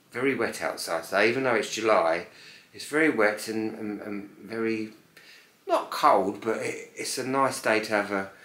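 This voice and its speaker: A man is speaking. Room echo can be heard. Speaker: home vlogger. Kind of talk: casual vlog chat. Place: home room. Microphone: camera far.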